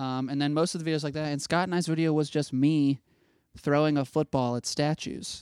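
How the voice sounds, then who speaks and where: With a Midwestern American accent, a man talks fairly quickly in a fairly high, monotone voice with flat intonation, the sound dry and close with no echo. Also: very clean recording, silent background. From Ohio (Dayton). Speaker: film student. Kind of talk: casual chat.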